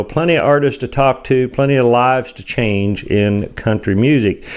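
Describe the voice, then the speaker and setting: The man has a normal speaking voice, lively intonation and a moderate pace. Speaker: interviewer for a country music magazine and radio show. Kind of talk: interview questions.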